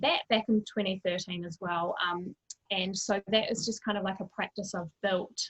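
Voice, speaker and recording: A woman with a New Zealand accent, medium pitch and fairly even intonation, in a dry, close sound with no echo. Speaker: mental wellbeing coach. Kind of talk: interview conversation.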